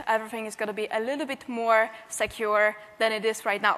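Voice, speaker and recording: A woman's voice with a Polish accent. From Poland. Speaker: penetration tester and security trainer. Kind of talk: conference talk.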